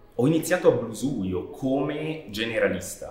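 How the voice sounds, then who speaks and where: Noticeable background noise and audible room echo surround the voice. A man speaks at a very slow pace. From Switzerland, Canton Ticino near Chiasso. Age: 30s. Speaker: animation director. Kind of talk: interview. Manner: halting, with frequent repetitions.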